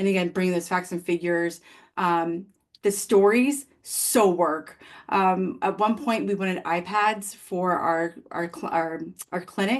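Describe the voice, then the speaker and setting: Against a quiet background, a woman talks at a fairly slow pace. She has an ordinary speaking voice, medium in pitch, with ordinary pitch variation. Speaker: occupational therapist presenter. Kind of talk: webinar presentation and Q&A.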